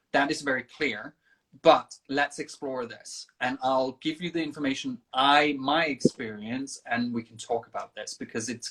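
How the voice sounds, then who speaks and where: The voice carries a Danish accent. It moves at a moderate pace. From Denmark. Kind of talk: casual interview. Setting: livestream video call.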